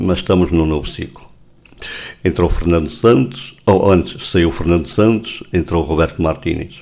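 This man's very deep, low voice has a dark, mellow tone and vocal fry, moving at a moderate pace with ordinary pitch variation. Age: 60s. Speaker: radio host. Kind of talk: radio interview.

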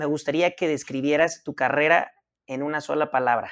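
A man with an unremarkable speaking voice talks at a moderate pace in a fairly high pitch. His intonation stays fairly even against a quiet background. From Mazatlán, Sinaloa, Mexico. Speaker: podcast co-host. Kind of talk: casual interview.

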